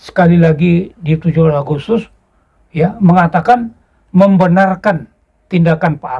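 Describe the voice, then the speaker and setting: Speaking at a fairly slow pace with long, frequent pauses, a man uses a high voice of dark, mellow tone and ordinary pitch variation. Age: 80s+. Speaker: former special forces soldier and history writer. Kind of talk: interview.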